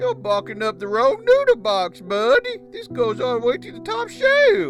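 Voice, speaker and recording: A female-sounding cartoonish character voice speaks at a moderate pace over clear background noise. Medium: puppet.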